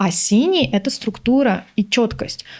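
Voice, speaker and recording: This woman has an animated tone. Her pitch moves in an ordinary way. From Uzbekistan (Tashkent). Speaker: body language expert and business trainer. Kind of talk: interview conversation.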